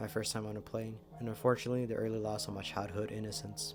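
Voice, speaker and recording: Over music in the background, a man talks at a very fast pace with a medium pitch. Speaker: horror story narrator. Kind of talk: horror story narration.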